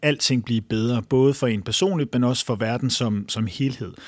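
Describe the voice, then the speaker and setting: The recording is very clean, with a silent background and a dry, close sound with no echo, as a man speaks at medium pitch with ordinary pitch variation. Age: 30s. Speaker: journalist and author. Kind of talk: interview. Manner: halting.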